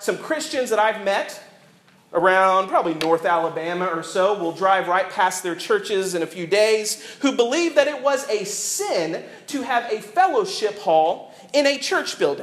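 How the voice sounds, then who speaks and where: Against audible room echo, a man speaks at a high pitch in a Southern US accent with lively intonation and a moderate pace. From US South. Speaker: pastor. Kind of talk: sermon. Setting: church.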